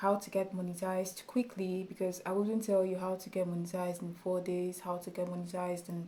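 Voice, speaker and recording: A woman speaks with a dark, mellow tone. Her intonation is monotone and flat. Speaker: YouTube tutorial creator. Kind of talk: tutorial. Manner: loud; halting.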